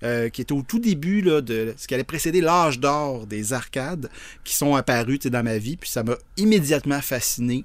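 A man with an unremarkable speaking voice talks at a moderate pace, his pitch fairly high and his intonation lively. The recording is very clean, with a silent background. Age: 50s. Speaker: video game designer. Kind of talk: interview.

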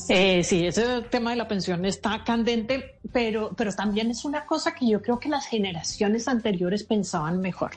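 In a normal speaking voice, the speaker talks at a moderate pace with lively intonation and hardly any pauses. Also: woman, fairly high pitch for a woman. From Colombia. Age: 50s. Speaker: speaker on generational diversity and author. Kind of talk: radio interview.

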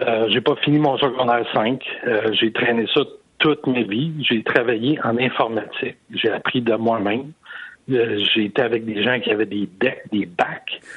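A man's unremarkable speaking voice at medium pitch, fairly slow, with fairly even intonation and very even loudness. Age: 60s. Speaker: caller. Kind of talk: testimony.

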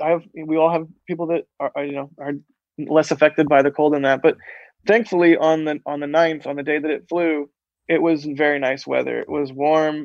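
Monotone, flat delivery at a fairly quick pace with an American accent, in a dry, close sound with no echo. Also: man, fairly high pitch for a man. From Florida, US. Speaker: space photographer. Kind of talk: interview.

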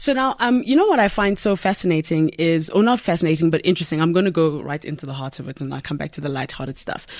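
Very fast, lively speech with hardly any pauses and big swings in loudness, over noticeable background noise. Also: woman, fairly low pitch for a woman. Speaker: podcast host. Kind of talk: interview conversation.

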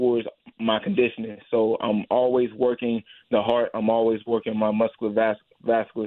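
A man with an American accent, an ordinary speaking voice, medium pitch and a moderate pace. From US Midwest, St. Louis. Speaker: MMA fighter. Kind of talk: radio interview.

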